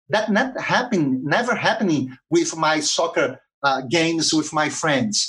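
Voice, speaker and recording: A man with a Portuguese accent speaks at a fairly slow pace. His pitch swings very widely. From Brazil, Rio de Janeiro. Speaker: social entrepreneur. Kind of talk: interview. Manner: halting, many fillers.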